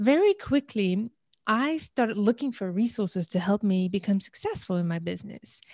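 A somewhat breathy woman at medium pitch and a moderate pace, ordinary pitch variation, dry, close sound with no echo, very clean recording and silent background. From raised in many countries, Algerian family. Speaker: business and marketing coach. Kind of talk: casual interview.

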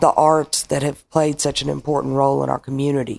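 The speaker has an Arkansas accent. The recording is very clean, with a silent background. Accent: Southern US (Arkansas). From Arkansas (Paragould). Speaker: bar owner. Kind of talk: casual interview.

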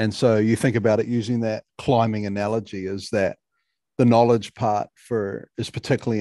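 A New Zealand accent, a dark, mellow tone, a moderate pace and a quiet background. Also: man, dry, close sound with no echo. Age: 40s. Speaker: mental performance coach. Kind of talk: podcast interview.

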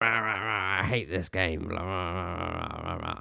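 A raspy man in a put-on character voice, very deep and low in pitch, at a fairly slow pace. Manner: ranting, mocking, angry.

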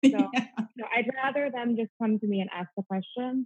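A woman with an ordinary speaking voice, fairly high pitch and ordinary pitch variation, in a dry, close sound with no echo. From US Midwest. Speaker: gynecologist. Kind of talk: interview. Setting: remote call.

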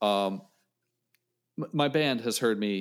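In a very clean recording with a silent background, a man of medium pitch speaks with an American accent, ordinary pitch variation and an ordinary speaking voice. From western Pennsylvania, Johnstown. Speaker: saxophonist and music educator. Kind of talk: casual interview chat.

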